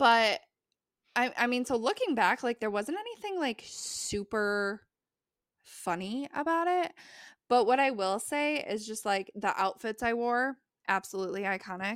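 A woman with a plain, everyday voice and an American accent speaks fairly slowly at a fairly high pitch, in a very clean recording with a silent background and a dry, close sound with no echo. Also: lively intonation. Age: 20s. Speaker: librarian. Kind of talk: casual chat.

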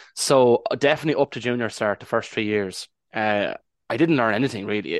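A man with an Irish accent speaks at a fairly quick pace. The sound is dry and close with no echo, over a quiet background. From Ireland. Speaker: Irish language advocate and hypnotherapist. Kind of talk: interview.

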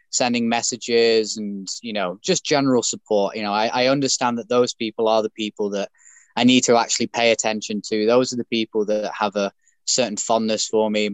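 A man talks fairly quickly with a British accent, his intonation flat and monotone. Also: medium pitch for a man. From UK. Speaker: bare knuckle boxer and former pro wrestler. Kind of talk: interview.

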